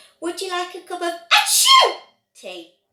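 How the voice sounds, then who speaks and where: In a squeaky put-on character voice pitched extremely high, a woman speaks at a moderate pace. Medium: read story.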